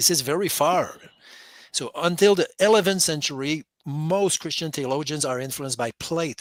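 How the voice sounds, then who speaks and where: In a very clean recording with a silent background, a man with a non-native accent talks at a moderate pace using lively intonation. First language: not English. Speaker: caller on a Bible call-in show. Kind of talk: casual theological discussion. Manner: halting, with many repeated words.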